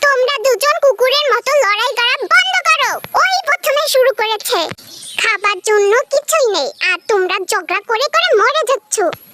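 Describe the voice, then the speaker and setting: In a put-on character voice at an extremely high pitch, the speaker moves at a moderate pace. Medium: fan dub. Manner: quarrelsome.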